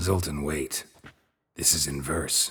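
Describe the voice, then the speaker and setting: A put-on character voice, raspy and delivered in a deadpan tone. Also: man. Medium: video game. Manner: terse, deadpan.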